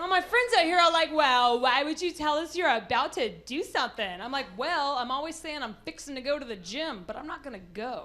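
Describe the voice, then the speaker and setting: A woman with an American accent and a high pitch speaks in a raised, projected voice at a fairly quick pace with hardly any pauses, very wide pitch swings and big swings in loudness. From Texas, Amarillo. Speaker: comedian. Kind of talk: stand-up. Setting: stage with audience. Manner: animated.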